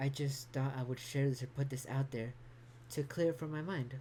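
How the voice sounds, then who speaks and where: At a moderate pace, a woman speaks in a very deep, low pitch, her tone dark, mellow and somewhat breathy, with fairly even intonation. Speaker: vlogger. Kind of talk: personal vlog monologue. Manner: halting, with stutters and repetition.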